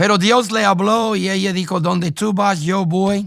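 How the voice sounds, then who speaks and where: In a very clean recording with a silent background, a man with an English accent speaks very slowly with fairly even intonation. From United States. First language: English (speaking Spanish). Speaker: pastor. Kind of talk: testimony.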